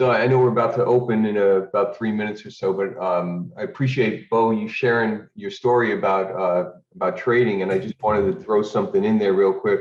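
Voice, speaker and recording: A man with a normal speaking voice at medium pitch, fairly quick with hardly any pauses and ordinary pitch variation. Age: 60s. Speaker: retiree learning trading. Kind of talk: casual testimony.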